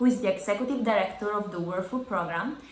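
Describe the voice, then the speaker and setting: A woman's fairly high voice with lively intonation, audible room echo and noticeable background noise. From Italy, Sardinia. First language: Italian. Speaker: youth summit delegate. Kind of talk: self-introduction.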